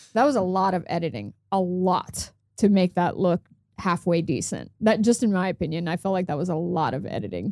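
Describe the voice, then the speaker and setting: A woman speaks at a fairly quick pace in a medium pitch. Her pitch varies in an ordinary way, and it is a normal speaking voice. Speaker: co-host. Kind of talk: casual banter, political commentary.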